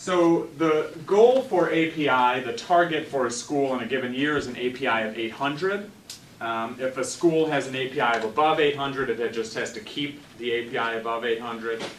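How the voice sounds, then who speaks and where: A man at a medium pitch and moderate pace with ordinary pitch variation, plus noticeable background noise and audible room echo. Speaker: education policy researcher. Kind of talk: lecture. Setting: seminar room with audience. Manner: loud.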